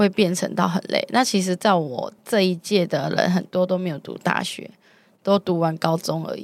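A woman in a normal speaking voice uses a medium pitch, a moderate pace and fairly even intonation. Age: 20s. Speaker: telecom customer service worker. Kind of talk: interview testimony.

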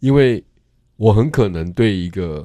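The voice has a dark, mellow tone and a fairly slow pace, recorded very cleanly over a silent background. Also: man. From Taiwan, Tainan. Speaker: art curator and professor. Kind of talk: interview. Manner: frequent filler particles.

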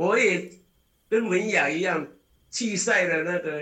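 A raised, projected voice carries lively intonation at a very slow pace. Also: man. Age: 60s. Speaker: ultramarathon runner. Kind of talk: casual interview. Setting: video call.

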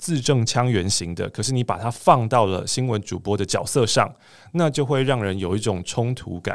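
A man speaks in a normal speaking voice at a moderate pace and medium pitch, on a very clean recording with a silent background. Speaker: voice coach and podcast host. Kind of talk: casual interview chat.

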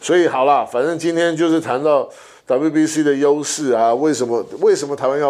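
This man has an unremarkable speaking voice, fairly high in pitch. He talks at a fairly quick pace with fairly even intonation. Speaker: podcast co-host, sports league executive. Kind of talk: casual chat.

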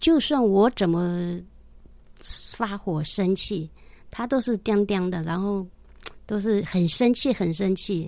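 At a very slow pace, a woman talks with ordinary pitch variation and long, frequent pauses. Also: medium pitch for a woman. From mainland China, Jiangxi Shangrao. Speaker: caregiver, widow sharing faith testimony. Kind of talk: testimony.

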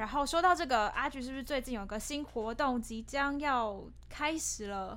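Ordinary pitch variation in a woman's high voice. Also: moderate pace. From Taiwan, Changhua. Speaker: theatre practitioner and podcast creator. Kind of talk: casual chat. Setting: small office. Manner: laughs often.

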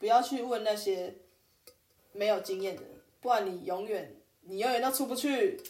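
Audible room echo surrounds a woman's fairly high voice with ordinary pitch variation. She keeps a moderate pace but takes long, frequent pauses. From Taiwan, New Taipei (Sanchong). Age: 30s. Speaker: podcast co-host, working holiday maker. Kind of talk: casual chat.

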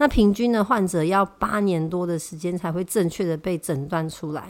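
Here a woman speaks in a Taiwanese accent at a moderate pace. Her pitch is medium, with ordinary variation. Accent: Taiwanese Mandarin. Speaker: health podcast host. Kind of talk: solo podcast talk on health.

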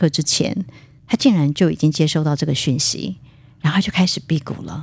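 A woman speaks in a fairly low, somewhat breathy voice with lively intonation. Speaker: spiritual writer and qigong teacher. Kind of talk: casual interview. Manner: frequent fillers and hesitations.

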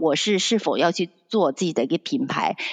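A woman has a normal speaking voice at medium pitch, with lively intonation. The sound is dry and close with no echo, over a quiet background. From Shandong, China. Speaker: fashion designer. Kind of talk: interview.

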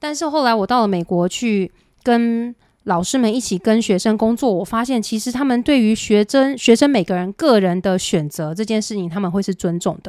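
On a very clean recording with a silent background, a woman with a plain, everyday voice speaks at a fairly high pitch and a moderate pace with lively intonation. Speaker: music director. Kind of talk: interview.

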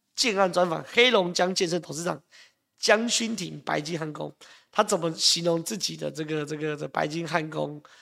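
In a Taiwanese accent, a man speaks in an animated tone with a bright, sharp quality and ordinary pitch variation. The recording is very clean, with a silent background. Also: moderate pace. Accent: Taiwanese Mandarin. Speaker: political commentator. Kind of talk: live political talk show. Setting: live stream studio.

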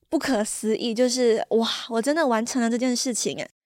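A woman talks at a moderate pace with a fairly high pitch. The recording is very clean, with a silent background. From Malaysia. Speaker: podcast host. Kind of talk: casual monologue.

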